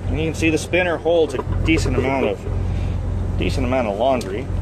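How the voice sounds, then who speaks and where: Speech at a moderate pace competes with loud background noise. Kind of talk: casual tutorial vlog. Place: car. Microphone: phone near.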